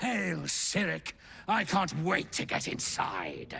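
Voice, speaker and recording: This man slows to a very slow pace. He is doing a put-on character voice pitched fairly high. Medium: video game. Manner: wheedling, sly.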